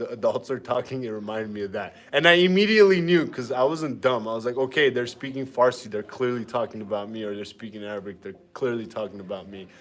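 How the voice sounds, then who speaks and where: The speaker talks very fast with an Armenian accent and hardly any pauses. The intonation is lively, with big swings in loudness. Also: man, medium pitch for a man. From Armenian family household. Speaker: fitness streamer. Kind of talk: live workout stream chat. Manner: animated.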